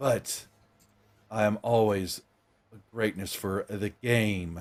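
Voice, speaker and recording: Booming in a put-on character voice, a man speaks at a very slow pace and fairly low pitch on a very clean recording with a silent background. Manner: commanding, ominous.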